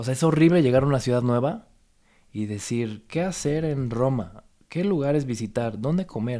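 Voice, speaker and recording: With a Mexican accent, a man talks at a moderate pace using lively intonation. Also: medium pitch for a man. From Mexico. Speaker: photographer and content creator. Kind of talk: casual chat.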